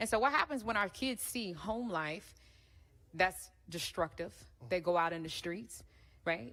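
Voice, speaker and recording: Taking long, frequent pauses, a woman with a bright, sharp tone speaks fairly slowly at a medium pitch, her voice swinging very widely in pitch. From North Carolina. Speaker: panel moderator, former therapist. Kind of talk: panel discussion.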